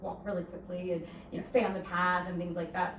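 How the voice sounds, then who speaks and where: Amid noticeable background noise and audible room echo, a woman with an American accent talks at a fairly low pitch. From Ohio, US Midwest. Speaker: hotel sales executive. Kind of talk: career talk to an audience. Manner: casual, many filler words.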